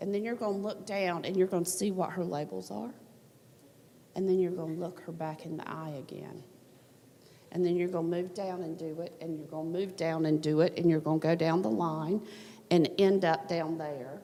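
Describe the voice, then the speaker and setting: A woman with a Southern US accent talks at a moderate pace with a fairly low pitch and ordinary pitch variation. Her loudness swings widely, and room echo is audible. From US South. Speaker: workshop presenter. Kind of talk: conference workshop.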